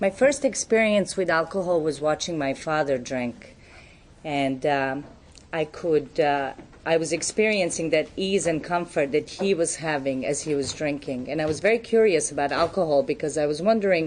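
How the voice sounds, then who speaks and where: At a moderate pace, a woman with a Serbian accent speaks with a very deep, low pitch and ordinary pitch variation. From Serbia, Belgrade. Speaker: recovery speaker. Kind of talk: testimony.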